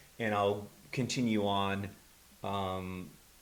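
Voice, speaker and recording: A man talks at a fairly low pitch. Room echo is audible. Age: 60s. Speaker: rock musician, bandleader. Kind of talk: interview conversation.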